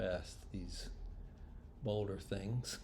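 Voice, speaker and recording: A man with a dark, mellow, somewhat breathy tone speaks fairly slowly amid audible room echo. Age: 60s. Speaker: orienteering competitor. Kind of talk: casual video commentary. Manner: casual.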